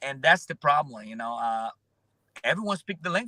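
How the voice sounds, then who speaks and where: A man with a Brazilian accent speaks very fast in a bright, sharp tone with lively intonation, the sound dry and close with no echo. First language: Portuguese. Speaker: roofer and social media influencer. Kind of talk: interview conversation. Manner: halting, many fillers.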